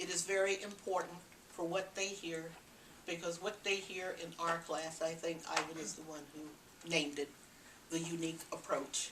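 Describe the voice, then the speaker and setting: The speaker has an American accent and ordinary pitch variation. There is noticeable background noise along with audible room echo. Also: woman. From US West Coast, Los Angeles. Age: 80s+. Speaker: parenting educator. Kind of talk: talk to an audience.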